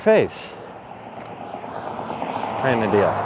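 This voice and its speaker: Noticeable background noise surrounds a soft-spoken voice. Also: man. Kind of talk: casual talk to camera (walking vlog). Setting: outdoors, street with background noise. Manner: soft-spoken, quiet.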